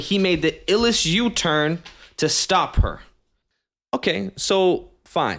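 The background is silent on this very clean recording. A man speaks in an American accent. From Virginia. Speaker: podcast host. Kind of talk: news commentary podcast. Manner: loud.

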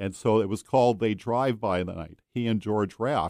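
A plain, everyday voice comes from a man with fairly low pitch, speaking at a moderate pace with ordinary pitch variation. The sound is dry and close with no echo, on a very clean recording with a silent background. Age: 60s. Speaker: truck driver and road travel correspondent. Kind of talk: radio interview. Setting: studio.

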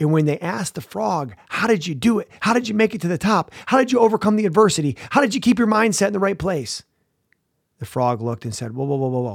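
Animated in tone, a man with a high voice talks at a very fast pace. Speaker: mental performance coach. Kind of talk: pep talk. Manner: animated, motivational; punchy, repetitive, emphatic.

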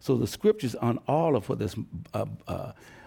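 A man speaks at a fairly quick pace in a medium pitch with an American accent, his dark, mellow tone edged with vocal fry. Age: 70s. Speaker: pastor and civil rights veteran. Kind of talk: panel discussion. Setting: stage with audience.

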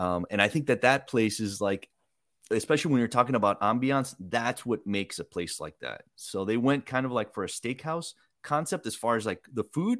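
In a normal speaking voice, a man talks at a moderate pace with medium pitch and ordinary pitch variation, the sound dry and close with no echo. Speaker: food editor, podcast host. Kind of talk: casual interview.

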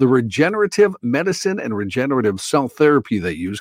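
Pitch swings very widely at a fairly quick pace. The sound is dry and close with no echo, on a very clean recording with a silent background. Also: man. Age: 60s. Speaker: radio news reader. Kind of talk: news reading.

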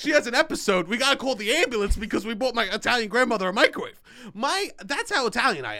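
A man talks very fast in a raised, projected voice with an extremely high pitch and a bright, sharp tone. His delivery is animated, with lively intonation. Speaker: podcast co-host. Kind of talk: casual chat. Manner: loud.

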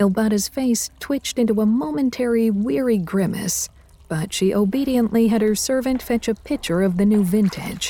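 Pitch varies in an ordinary way as the text is read aloud in a natural voice.

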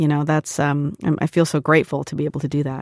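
The voice has a West Coast US accent. The sound is dry and close with no echo, in a very clean recording with a silent background. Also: woman. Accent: General American, West Coast. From US West Coast, Portland, Oregon and San Diego. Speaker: TV showrunner and former actor. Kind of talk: casual interview.

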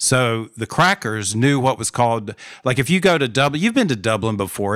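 A man of medium pitch with an American accent. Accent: Southern US, thickens on purpose. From North Carolina, US South. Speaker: PhD student and podcaster. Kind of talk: casual conversation, podcast interview.

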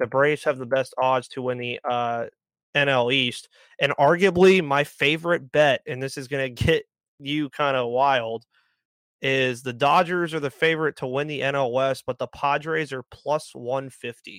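A man with an unremarkable speaking voice talks at a fairly slow pace, fairly high in pitch with fairly even intonation. The sound is dry and close with no echo, on a very clean recording with a silent background. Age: 20s. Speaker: sports podcaster. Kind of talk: casual chat.

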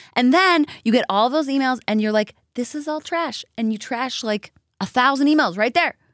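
A woman talks in a high pitch with lively intonation at a moderate pace. The sound is dry and close, with no echo. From Canada. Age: 30s. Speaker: country singer and TV host. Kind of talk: casual chat.

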